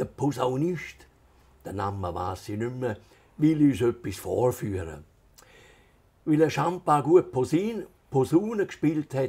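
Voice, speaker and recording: With a strong Swiss German accent, a man speaks very slowly in a dark, mellow, somewhat breathy tone, his pitch swinging very widely. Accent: Altstätten Swiss German dialect, strong. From Switzerland, Altstätten (St. Gallen Rheintal); Switzerland. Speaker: author; interviewee. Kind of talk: reading aloud; interview. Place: home room. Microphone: lapel.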